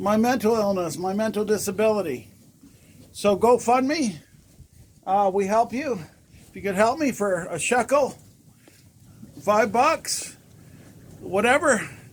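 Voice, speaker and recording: The high-voiced man talks with lively intonation and big swings in loudness. His pauses are long and frequent. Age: 60s. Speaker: horse owner vlogger. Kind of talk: casual video appeal. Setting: outdoors in blizzard, snow shed. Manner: halting, many fillers.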